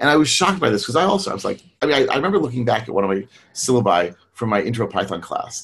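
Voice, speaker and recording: An American-accented man talks at a very fast pace, his medium-pitched voice showing vocal fry and very wide pitch swings. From US. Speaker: technical trainer and consultant. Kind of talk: online presentation and Q&A. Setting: video call, webinar.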